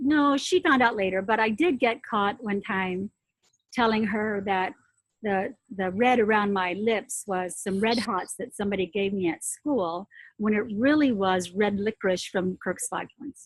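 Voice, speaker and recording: A woman speaks in a somewhat breathy voice at a medium pitch. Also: ordinary pitch variation, fairly slow pace. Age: 70s. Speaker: former news anchor and consultant. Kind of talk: interview.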